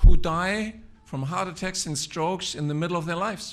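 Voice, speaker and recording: The man's pitch is high. He speaks at a moderate pace with lively intonation. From Germany. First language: German. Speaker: physician and researcher. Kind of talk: speech.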